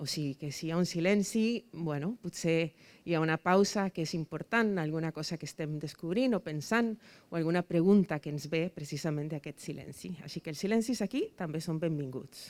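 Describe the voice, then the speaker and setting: Woman with a Spanish accent and fairly low pitch, dry and close with no echo, on a very clean recording with a silent background. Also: ordinary pitch variation, moderate pace. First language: Spanish (speaking Catalan). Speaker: debate moderator. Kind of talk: moderating a public debate. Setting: rooftop event with live audience. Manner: hesitant, many fillers.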